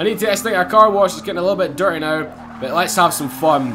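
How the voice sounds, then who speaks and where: Music plays in the background and room echo is audible as a man speaks with a strong Scottish accent. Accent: Scottish, strong enough that viewers struggle. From Scotland, Glasgow. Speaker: gaming YouTuber. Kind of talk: gameplay commentary. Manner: fast; animated.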